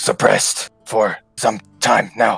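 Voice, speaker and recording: Over faint background music, a man does a raspy put-on character voice at a medium pitch. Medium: actual play. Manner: hesitant, halting.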